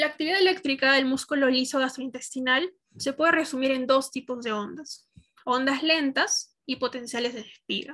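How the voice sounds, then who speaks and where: Against a quiet background, a woman raises and projects her voice, high in pitch with a bright, sharp tone. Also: ordinary pitch variation, moderate pace. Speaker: medical student; student lecturer. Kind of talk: lecture.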